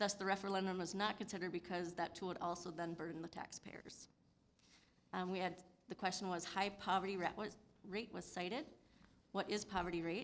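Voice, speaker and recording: A woman with an American accent, talking at a very fast pace in a monotone, flat intonation. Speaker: city official. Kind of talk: public meeting presentation.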